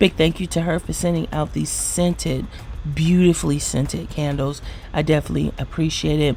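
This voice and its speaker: A woman speaking quietly over background music. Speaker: beauty vlogger. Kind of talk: product review vlog. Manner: quiet, low-voiced; animated.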